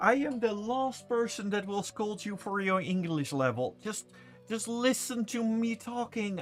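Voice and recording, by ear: Over music in the background, someone with a Dutch accent speaks at a fairly slow pace.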